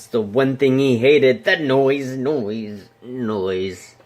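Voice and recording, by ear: The text is read aloud in a natural voice. Its pitch shows ordinary variation.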